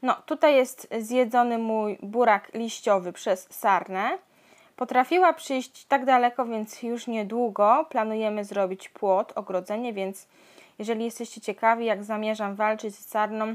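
A woman at a fairly slow pace, with big swings in loudness and ordinary pitch variation, over a quiet background. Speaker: home gardener vlogger. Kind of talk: casual vlog chat. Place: garden. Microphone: phone near.

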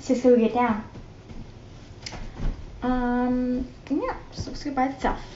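Over audible room echo, a woman speaks slowly at a high pitch, her tone dark and mellow and her intonation fairly even.

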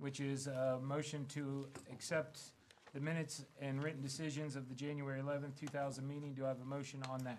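At a moderate pace, the voice comes through over light background noise. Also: man. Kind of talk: formal meeting procedure, reading agenda. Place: meeting room. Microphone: podium.

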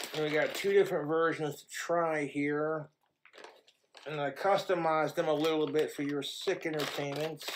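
Fairly high-pitched male voice, monotone and flat, at a moderate pace. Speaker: food reviewer YouTuber. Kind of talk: casual food review vlog.

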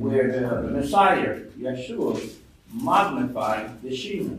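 Talking fairly slowly at a medium pitch, a man uses lively intonation while audible room echo surrounds his voice. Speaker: church elder. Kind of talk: reading aloud. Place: meeting room.

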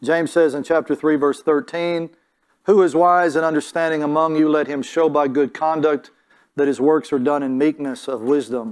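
A man keeps to a moderate pace, his intonation fairly even. All around him, the background is quiet. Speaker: preacher. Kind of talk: sermon. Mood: calm, earnest. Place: church.

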